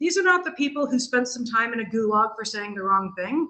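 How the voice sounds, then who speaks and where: A woman's raised, projected voice with a bright, sharp tone, a General American accent, lively intonation and a fairly quick pace. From US Pacific Northwest, Seattle. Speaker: history professor. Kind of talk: lecture. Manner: fast.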